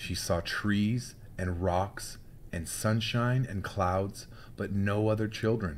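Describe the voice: The speaker is doing plain reading aloud. Nothing else stands out beyond that.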